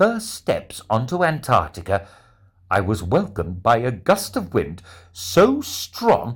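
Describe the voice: This is plain reading aloud. The voice simply reads the text.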